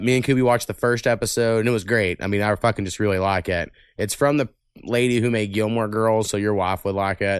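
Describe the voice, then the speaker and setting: In a fairly low pitch and with an American accent, a man talks at a moderate pace with fairly even intonation in an ordinary speaking voice against a quiet background. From Oklahoma. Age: 30s. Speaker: podcast host. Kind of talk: casual chat.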